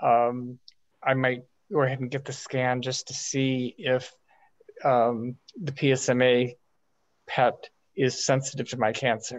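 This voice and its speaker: Speaking at a very slow pace with long, frequent pauses, a man holds a medium pitch in a monotone, flat intonation. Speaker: prostate cancer patient in support group. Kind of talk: audience question in online meeting. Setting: video call. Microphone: video call.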